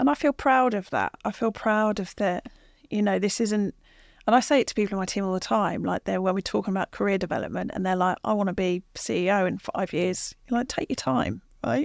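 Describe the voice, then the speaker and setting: A woman at medium pitch with lively intonation and a fairly quick pace, in a dry, close sound with no echo and a very clean recording with a silent background. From southern England, Watford. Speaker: sales executive. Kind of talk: interview. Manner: quiet; considered.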